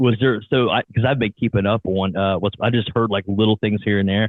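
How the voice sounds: Delivered at a fairly quick pace with fairly even intonation, the voice sounds dry and close with no echo. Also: man, fairly low pitch for a man.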